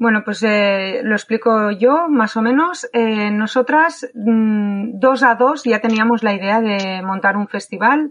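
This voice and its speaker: Her pitch fairly high, a woman speaks at a very slow pace. She barely pauses at all. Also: ordinary pitch variation. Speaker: knitter and festival organizer. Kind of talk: casual chat.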